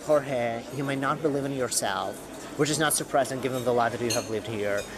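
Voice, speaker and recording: With a Russian accent, a man speaks at a fairly quick pace and medium pitch, his intonation fairly even, amid audible room echo and noticeable background noise. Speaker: podcaster, writer and former medical professional. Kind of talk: personal storytelling monologue.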